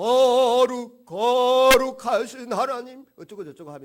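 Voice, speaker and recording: Putting on a pompous character voice, a man projects at an extremely high pitch, raising his voice and speaking at a fairly slow pace. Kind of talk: solemn, affected piety. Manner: pompous, showy, falsely holy.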